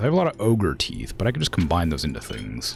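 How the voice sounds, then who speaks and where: Music plays behind a man talking at a fairly quick pace. His pitch swings very widely. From United States. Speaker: video game streamer. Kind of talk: casual livestream chat with gameplay commentary. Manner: casual, filler-heavy with many likes.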